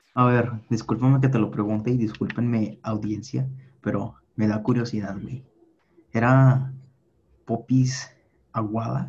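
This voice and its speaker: A man speaks at a fairly slow pace, somewhat breathy, with fairly even intonation and long, frequent pauses. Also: medium pitch for a man. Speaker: podcast co-host. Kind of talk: casual chat.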